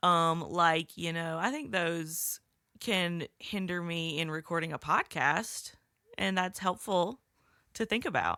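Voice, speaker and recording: A woman's fairly low, bright, sharp voice with ordinary pitch variation at a very slow pace, in a dry, close sound with no echo. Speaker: podcast co-host. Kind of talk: casual chat.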